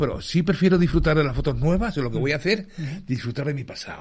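Talking at a very fast pace, a man's somewhat breathy voice carries lively intonation. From Australia, born in Madrid. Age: 50s. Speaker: music photographer. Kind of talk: interview. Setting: studio.

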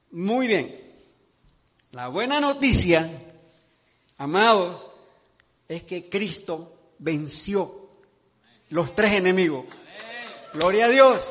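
A man with a high pitch talks at a very slow pace, leaving long, frequent pauses. His intonation is lively, his loudness swings a lot, and the room echo is audible. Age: 70s. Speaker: pastor. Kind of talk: sermon.

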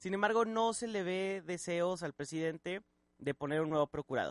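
Bright and sharp in tone, the voice moves at a fairly quick pace with a dry, close sound, no echo, and a quiet background. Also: man. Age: 20s. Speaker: radio host. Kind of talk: casual chat. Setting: studio.

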